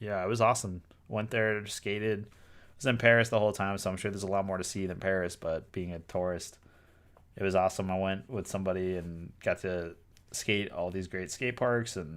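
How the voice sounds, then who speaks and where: In a Boston accent, a man talks at a moderate pace with a fairly low pitch. The recording is very clean, with a silent background. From Boston, US. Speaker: toy designer and artist streamer. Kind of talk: live stream casual chat. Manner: casual, many filler words.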